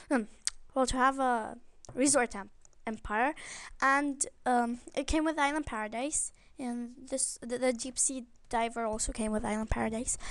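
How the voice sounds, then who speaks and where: A woman's high-pitched voice at a moderate pace. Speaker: gaming YouTuber. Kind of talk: let's play commentary. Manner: subdued, can't shout.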